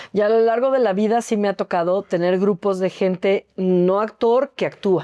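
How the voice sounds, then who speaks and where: A woman talks at a medium pitch in a dark, mellow tone, with hardly any pauses. The sound is dry and close with no echo, and her loudness stays very even. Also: fairly even intonation, moderate pace. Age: 60s. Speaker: actress and acting teacher. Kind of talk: interview.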